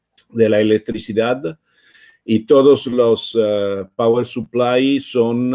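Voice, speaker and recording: A man speaks very slowly in a medium pitch, with an Italian accent and a monotone, flat intonation. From Italy. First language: Italian (speaking Spanish). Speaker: open-source foundation co-founder, speaker. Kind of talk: online talk presentation. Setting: live stream. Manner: halting, many hesitations.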